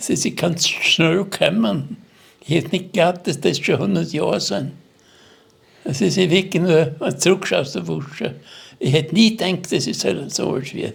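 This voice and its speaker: At a moderate pace, a man talks with lively intonation at a high pitch. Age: 80s+. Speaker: war veteran. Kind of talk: testimony. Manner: halting.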